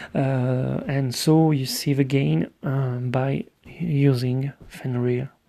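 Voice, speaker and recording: Background noise is noticeable here. The speech moves at a very slow pace. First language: French. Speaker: gaming video creator. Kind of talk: tutorial. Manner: halting, many filler sounds.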